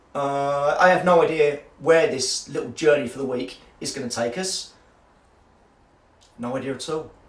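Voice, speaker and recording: The voice belongs to a man with a fairly high pitch. Room echo is audible. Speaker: tabletop gaming YouTuber. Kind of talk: personal video diary.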